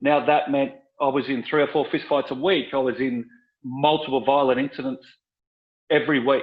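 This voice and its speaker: With an Australian accent, a man talks at a fairly quick pace in a fairly high pitch, leaving long, frequent pauses. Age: 50s. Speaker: former police officer and author. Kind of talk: podcast interview. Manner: animated.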